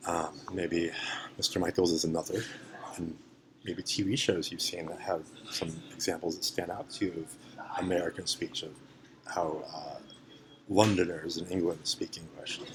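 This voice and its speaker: Over music in the background, a man with a very deep, low pitch speaks at a moderate pace with fairly even intonation. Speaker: English language teacher. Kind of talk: lesson demonstration.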